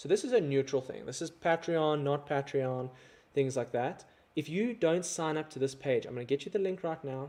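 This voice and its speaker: With a South African accent, a man with a fairly high pitch speaks at a moderate pace in a dark, mellow tone with ordinary pitch variation. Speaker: overlanding content creator. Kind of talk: livestream chat with viewers. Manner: casual, conversational.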